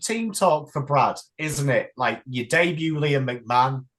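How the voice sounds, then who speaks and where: Here a man speaks with an English accent at a fairly high pitch. His pace is fairly slow. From England. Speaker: YouTuber and football fan. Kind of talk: casual chat.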